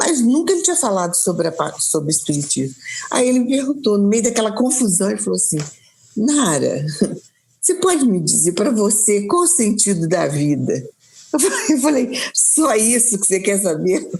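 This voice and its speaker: With audible room echo, a woman with a fairly high voice talks at a moderate pace, her pitch swinging very widely. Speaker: spiritist speaker. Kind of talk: interview in a live stream. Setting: live online stream. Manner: halting, many repetitions.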